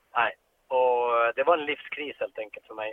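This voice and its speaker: Here a man speaks at a medium pitch. He has a plain, everyday voice. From Sweden, Norrbotten (Pajala). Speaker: ice hockey coach and former player. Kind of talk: long interview. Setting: in a car.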